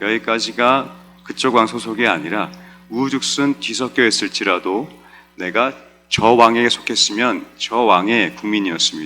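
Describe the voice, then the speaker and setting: Music plays in the background as a man speaks at a moderate pace. His pitch varies in an ordinary way. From South Korea. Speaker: pastor. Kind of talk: sermon.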